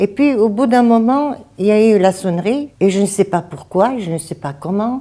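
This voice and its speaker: A woman's dark, mellow tone with lively intonation at a moderate pace, in a Bulgarian accent. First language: Bulgarian (speaking French). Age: 70s. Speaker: retired midwife. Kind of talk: interview testimony. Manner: halting.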